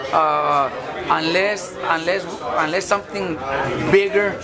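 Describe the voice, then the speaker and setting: With crowd noise in the background, a man talks at a moderate pace with ordinary pitch variation. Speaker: boxing trainer. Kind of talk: interview answer. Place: gym.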